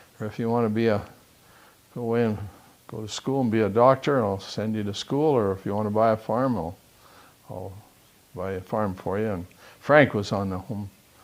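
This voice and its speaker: With a Western Canadian accent and a fairly low pitch, a man talks at a fairly quick pace, leaving long, frequent pauses and using ordinary pitch variation. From Southern Alberta, Canada. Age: 80s+. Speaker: retired business owner. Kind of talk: oral history interview.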